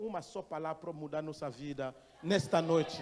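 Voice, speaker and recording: This man's pitch rises and falls in an ordinary way. He has a non-native accent. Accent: foreign accent in Portuguese. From Gabon. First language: not Portuguese (speaking Portuguese). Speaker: missionary pastor. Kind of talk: sermon. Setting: church. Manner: halting.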